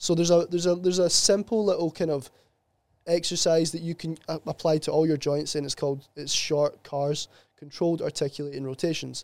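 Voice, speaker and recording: A man with a Glasgow accent, fairly high pitch, fairly even intonation and a fairly quick pace. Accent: Scottish (Glasgow area). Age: 20s. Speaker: sports therapist. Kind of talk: casual chat.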